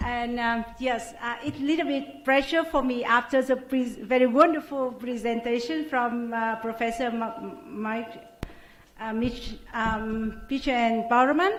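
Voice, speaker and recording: A woman with a Vietnamese accent speaks at a fairly slow pace, high in pitch with ordinary pitch variation. The recording has noticeable background noise and audible room echo. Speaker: academic researcher. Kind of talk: conference presentation. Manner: halting.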